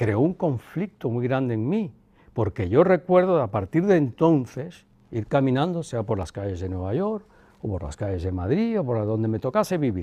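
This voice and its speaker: A man at a medium pitch with a dark, mellow tone, very wide pitch swings and a moderate pace, over a quiet background. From Cuba. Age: 60s. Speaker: son of a former head of state. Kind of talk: interview. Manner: reflective.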